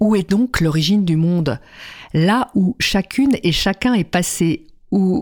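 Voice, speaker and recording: On a very clean recording with a silent background, a woman of medium pitch speaks at a very slow pace with lively intonation. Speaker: storyteller. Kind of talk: fairy-tale narration. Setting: radio studio. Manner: storytelling, animated, lively with folksy asides; halting, repeating words.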